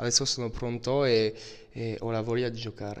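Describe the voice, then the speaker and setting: A man speaks with fairly even intonation. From France, Brittany. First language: French (speaking Italian). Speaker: footballer. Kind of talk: interview. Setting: training camp. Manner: halting. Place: home room. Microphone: handheld.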